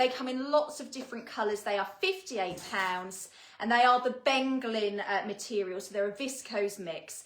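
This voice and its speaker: A woman with a British accent at a moderate pace. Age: 30s. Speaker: fashion retailer presenter. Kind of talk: product presentation. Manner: casual, with many fillers.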